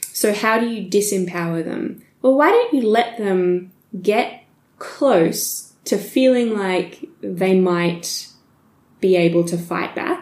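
A woman with an Australian accent and a medium pitch talks at a very slow pace with lively intonation. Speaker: history podcast co-host. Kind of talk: casual chat with storytelling.

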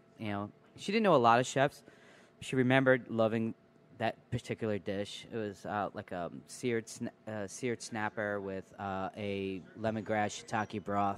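A man with an unremarkable speaking voice talks at a moderate pace, his fairly low pitch moving with ordinary variation. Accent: American. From New York. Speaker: chef and restaurant co-owner. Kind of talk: casual chat. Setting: restaurant.

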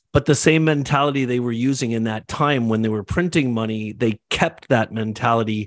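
A man with a Canadian accent and an ordinary speaking voice talks at medium pitch and a fairly quick pace. The sound is dry and close with no echo, over a quiet background. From Canada. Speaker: entrepreneur, agency and real estate developer. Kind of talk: casual panel discussion.

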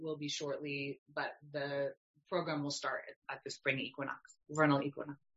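A woman is speaking. She talks with a Canadian accent. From Canada. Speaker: yoga teacher and herbalist. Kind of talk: casual interview chat.

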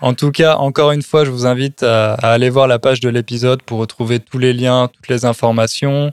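In a dry, close sound with no echo, a man at a medium pitch talks at a fairly quick pace in a monotone, flat intonation, with big swings in loudness. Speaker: podcast host teaching French. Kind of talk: casual chat. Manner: clear, adapted for learners.

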